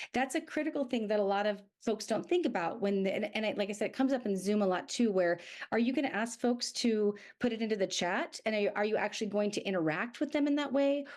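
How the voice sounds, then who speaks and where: Speaking at a very fast pace, a woman uses a fairly high pitch and lively intonation. Her loudness stays very even. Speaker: speaking coach. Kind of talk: podcast interview.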